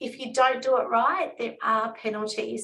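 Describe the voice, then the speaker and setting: Speaking at a moderate pace, a woman with an Australian accent has a fairly high pitch. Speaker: financial advisor. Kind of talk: webinar presentation.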